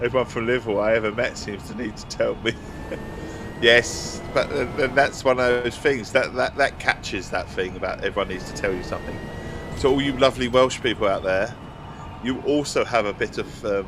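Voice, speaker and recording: In an Essex accent, a man of medium pitch speaks at a fairly quick pace with ordinary pitch variation over noticeable background noise. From England. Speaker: gaming streamer. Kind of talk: casual chat. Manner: halting.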